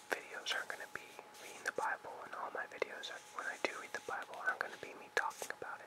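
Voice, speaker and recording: Someone whispers at a very fast pace over noticeable background noise. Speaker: ASMR artist. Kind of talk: casual talk to camera. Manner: whispered.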